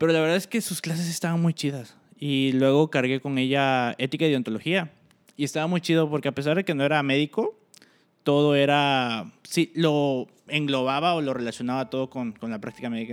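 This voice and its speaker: Pitched fairly high, a man talks at a fairly quick pace with ordinary pitch variation in an unremarkable speaking voice. The recording is very clean with a silent background, and the sound is dry and close with no echo. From Cancún, Mexico. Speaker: medical student. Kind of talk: casual chat.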